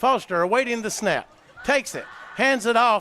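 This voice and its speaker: A man's raised, projected voice at a moderate pace with lively intonation, over noticeable background noise. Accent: American. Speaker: play-by-play sports announcer. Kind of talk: live commentary. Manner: animated; loud.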